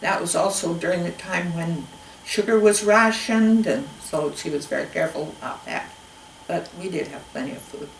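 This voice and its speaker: A woman with an American accent speaks at a moderate pace. The room echo is audible, and background noise is noticeable. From Spokane Valley, Washington. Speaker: oral history interviewee. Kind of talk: oral history interview. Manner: halting.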